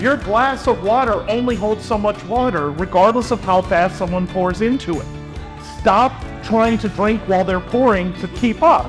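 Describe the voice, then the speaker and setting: A man speaks in an energetic tone at a high pitch with ordinary pitch variation. Music plays in the background. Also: moderate pace. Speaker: keynote speaker. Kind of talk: presentation to live audience. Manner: energetic, fun.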